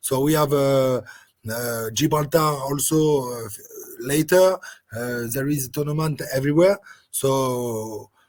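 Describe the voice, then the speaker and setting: A man with a fairly high pitch talks fairly slowly, his pitch varying in an ordinary way. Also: long, frequent pauses, big swings in loudness. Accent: French. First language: French. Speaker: rugby sevens coach. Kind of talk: interview. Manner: halting.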